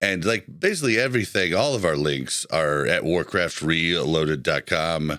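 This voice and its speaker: A man's very deep, low pitch at a moderate pace, in a very clean recording with a silent background. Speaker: podcast host. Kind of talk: show outro with plugs; casual chat.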